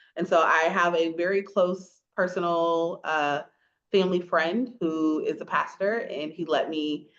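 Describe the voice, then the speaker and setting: A woman is speaking. Her pitch is fairly low. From rural north Florida (small country town). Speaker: podcast co-host and English professor. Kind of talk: casual chat. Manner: animated.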